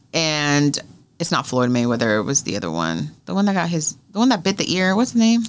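A woman with an American accent speaks at a very deep, low pitch. Her pitch swings very widely as she moves at a fairly quick pace. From US West Coast (California). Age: 30s. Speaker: radio host; interview guest. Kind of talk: casual interview. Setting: studio. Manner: animated. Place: studio. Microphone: studio mic.

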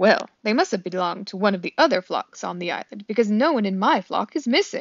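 Lively intonation in a natural reading voice

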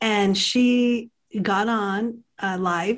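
Against a quiet background, a woman's voice comes through somewhat breathy. Her intonation stays fairly even. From US, El Paso, Texas; Texas. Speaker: podcast co-host and art educator; podcast co-host, art educator. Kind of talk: casual chat. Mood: warm, smiling. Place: home room. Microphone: webcam.

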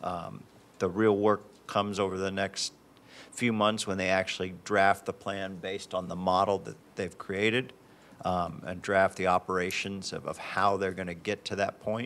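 A fairly low male voice in a monotone, flat intonation. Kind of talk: meeting report. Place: hall. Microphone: podium.

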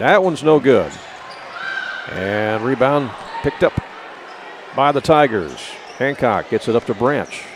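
At a fairly slow pace, a man speaks at a medium pitch with ordinary pitch variation and long, frequent pauses, in a dry sound with no echo and noticeable background noise. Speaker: basketball play-by-play announcer. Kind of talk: live sports commentary, play-by-play call. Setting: courtside broadcast at a basketball game. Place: hall. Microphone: headset.

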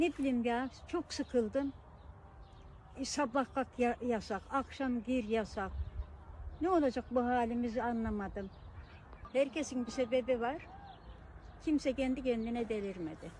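A woman's high-pitched speech at a fairly slow pace, with long, frequent pauses and ordinary pitch variation. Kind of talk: casual talk to camera.

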